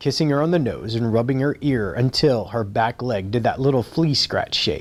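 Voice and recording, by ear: Someone reads aloud in a natural voice, with pitch moving up and down by normal amounts.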